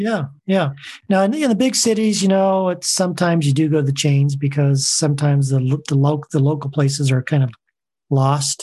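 A man with an American accent speaks at a fairly quick pace in a fairly high pitch, his dark, mellow tone somewhat breathy, with ordinary pitch variation and very even loudness. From Southern California. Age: 60s. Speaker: long-distance hiker. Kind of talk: interview.

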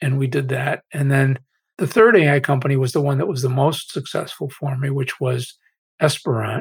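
A somewhat breathy man with an American accent speaks at a fairly high pitch and moderate pace, using ordinary pitch variation. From Massachusetts, US. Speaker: AI researcher and author. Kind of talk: interview.

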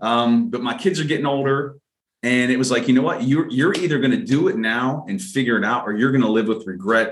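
An unremarkable speaking voice moves at a fairly quick pace. Its intonation is lively. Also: man, medium pitch for a man. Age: 40s. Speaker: podcast co-host. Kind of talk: casual chat.

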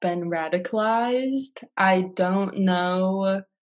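A woman is speaking. She has an American accent. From US Midwest, South Minneapolis, Minnesota. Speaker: university student. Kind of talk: interview. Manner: casual, uses many fillers.

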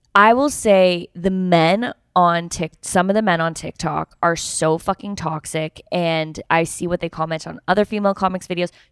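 An ordinary speaking voice at a moderate pace, fairly even in intonation, with a dry, close sound, no echo, and a very clean recording on a silent background. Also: woman, fairly low pitch for a woman. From Canada. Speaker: podcast co-host. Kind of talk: casual chat.

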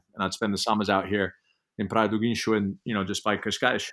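Monotone, flat intonation from a man with an English accent and fairly low pitch, in a very clean recording with a silent background. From England. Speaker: sports organization CEO, former pro windsurfer. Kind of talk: interview.

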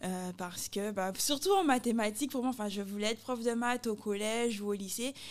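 A woman talks in a normal speaking voice with ordinary pitch variation and hardly any pauses. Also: fairly high pitch for a woman, fairly quick pace. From Guadeloupe. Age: 30s. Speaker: athlete and expatriate. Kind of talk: casual interview chat.

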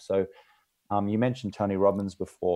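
In an Australian accent, a man speaks with a fairly low pitch and a dark, mellow tone against a quiet background. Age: 40s. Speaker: entrepreneur and podcast host. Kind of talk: casual interview chat.

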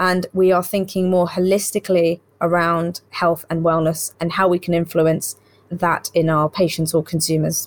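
In a British accent, a woman speaks at a moderate pace and medium pitch. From UK and Saudi Arabia, Indian heritage. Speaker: doctor and health insurance executive. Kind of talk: interview.

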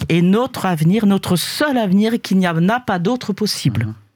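The woman's voice is medium in pitch and somewhat breathy, with lively intonation. The sound is dry and close, with no echo. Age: old. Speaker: panelist. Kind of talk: panel discussion.

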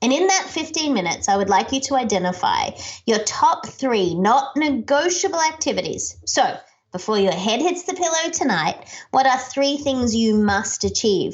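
A woman with an Australian accent speaks at a moderate pace in a high voice with very wide pitch swings and very even loudness. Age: 40s. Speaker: keynote speaker and author. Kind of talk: podcast interview. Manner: animated.

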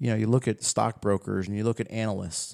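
The voice has a dark, mellow tone, with a dry, close sound with no echo on a very clean recording with a silent background. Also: man. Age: 30s. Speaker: digital marketing firm owner, podcast host. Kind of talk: casual chat.

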